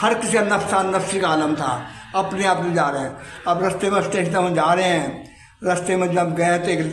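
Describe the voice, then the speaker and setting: Noticeable background noise sits behind a man whose high pitch carries fairly even intonation. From Rohtak, Haryana, India. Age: 80s+. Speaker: partition survivor, eyewitness. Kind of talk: oral history interview answer.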